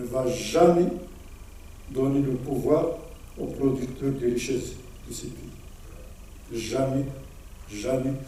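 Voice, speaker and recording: Through noticeable background noise and audible room echo, a man of medium pitch speaks very slowly. His intonation stays fairly even. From Morocco. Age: 70s. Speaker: former political prisoner and activist speaker. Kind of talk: conference Q&A answer. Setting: hall with audience. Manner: repetitive, halting.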